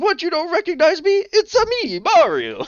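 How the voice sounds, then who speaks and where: A man's put-on character voice, extremely high-pitched, with an Italian accent and a moderate pace. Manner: jovial.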